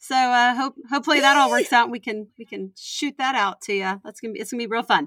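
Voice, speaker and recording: The woman's delivery moves at a moderate pace. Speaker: comedy reselling podcast co-host. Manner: casual, chatty.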